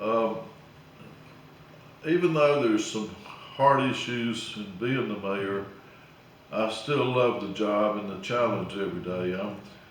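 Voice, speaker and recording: A man with an Alabama accent at medium pitch and a fairly slow pace, with ordinary pitch variation, long, frequent pauses, noticeable background noise and audible room echo. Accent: Southern US (Alabama). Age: 70s. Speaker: small-town mayor. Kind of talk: casual interview. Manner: hesitant, many uh fillers.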